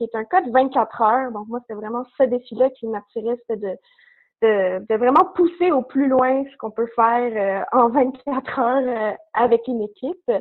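The woman's pitch is high. She talks at a fairly slow pace. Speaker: university student. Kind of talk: interview.

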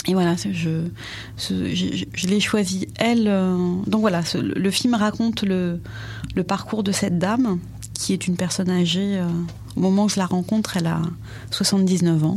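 A woman at a very slow pace, with long, frequent pauses, very even loudness and ordinary pitch variation, amid noticeable background noise and audible room echo. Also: medium pitch for a woman. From France. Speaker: documentary filmmaker. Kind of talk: interview. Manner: halting.

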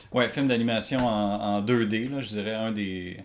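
Heard with audible room echo, a man in a Quebec accent speaks at a medium pitch with ordinary pitch variation. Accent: Québécois French. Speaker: illustrator and comic artist. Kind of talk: casual chat. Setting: artist's studio.

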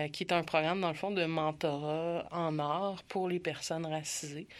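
At a very slow pace, a woman speaks in a fairly low pitch with a monotone, flat intonation. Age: 30s. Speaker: LGBTQ youth community worker. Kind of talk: interview.

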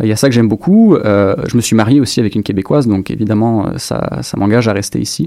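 A man's very fast speech with hardly any pauses, fairly low pitch, ordinary pitch variation and a dark, mellow tone. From France, Dijon (Burgundy). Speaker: doctoral student and lecturer. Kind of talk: interview.

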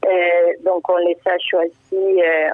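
A woman talks in a fairly low voice with monotone, flat intonation. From Uruguay. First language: Spanish (speaking French). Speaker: writer. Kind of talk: interview. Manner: hesitant.

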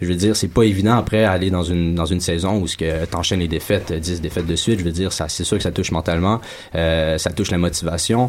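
Over noticeable background noise, a man talks at a very fast pace with a very deep, low pitch. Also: fairly even intonation. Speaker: professional footballer. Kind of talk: casual chat.

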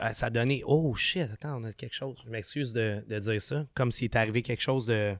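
A plain, everyday voice from a man, medium in pitch with ordinary pitch variation and big swings in loudness, dry and close with no echo, on a very clean recording with a silent background. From Quebec, Sainte-Julie. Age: 30s. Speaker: punk rock singer. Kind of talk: casual chat.

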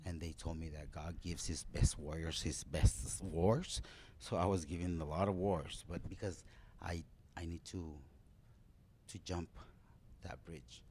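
A man's very deep, low voice with a dark, mellow tone and vocal fry, fairly slow, with ordinary pitch variation, big swings in loudness, and long, frequent pauses. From Mexico, Ciudad Juarez. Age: 40s. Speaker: professional wrestler. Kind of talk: interview.

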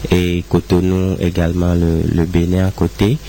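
Noticeable background noise accompanies a man speaking. He talks at a very slow pace with a very deep, low pitch. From Togo. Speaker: musician. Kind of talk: interview.

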